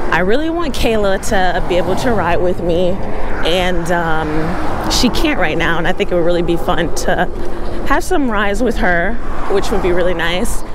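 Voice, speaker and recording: The pace is moderate. Noticeable background noise sits under a dry sound with no echo. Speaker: e-bike vlogger. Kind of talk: casual vlog chat. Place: bicycle. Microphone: phone near.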